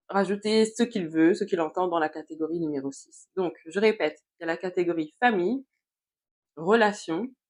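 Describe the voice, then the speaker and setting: A woman with a medium pitch speaks at a moderate pace, her pitch varying in the ordinary way while her loudness swings widely. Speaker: youtuber, personal development coach. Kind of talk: motivational vlog monologue. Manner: hesitant, many fillers.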